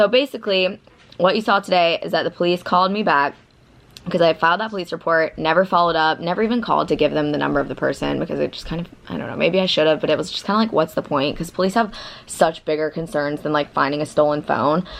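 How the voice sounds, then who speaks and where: With an American accent, a woman talks at a very fast pace in a fairly low pitch with vocal fry and ordinary pitch variation. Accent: Southern, comes out when nervous. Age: 20s. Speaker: vlogger. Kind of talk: casual vlog talk. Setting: friend's apartment. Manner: casual, filler-heavy.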